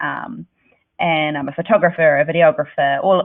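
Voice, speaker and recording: A woman speaks with a New Zealand accent. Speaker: creative director. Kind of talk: presentation.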